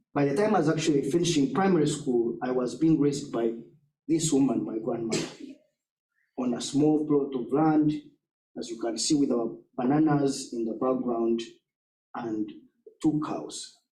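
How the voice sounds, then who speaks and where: With audible room echo, a man speaks at a moderate pace and a fairly high pitch, with a dark, mellow tone, ordinary pitch variation and long, frequent pauses. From southwestern Uganda. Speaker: education nonprofit leader. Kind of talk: talk with slides. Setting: church forum with audience.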